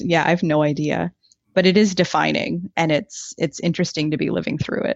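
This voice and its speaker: A woman with a fairly low pitch uses an ordinary speaking voice, keeping a moderate pace and fairly even intonation. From Ottawa, Canada. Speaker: guest sharing her life story.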